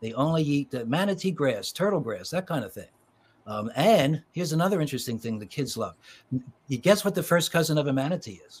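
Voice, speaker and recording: A man with an American accent, fairly high pitch, very wide pitch swings, a somewhat breathy voice, big swings in loudness, a fairly quick pace, and a very clean recording with a silent background. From Philadelphia suburbs, US. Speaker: children's author. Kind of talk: interview conversation.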